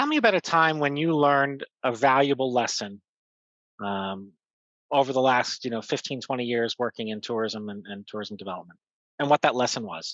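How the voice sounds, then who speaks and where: A man speaks at a moderate pace in an ordinary speaking voice, his medium pitch showing ordinary variation while his loudness swings widely, recorded dry and close with no echo over a quiet background. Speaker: podcast host. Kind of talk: casual interview chat.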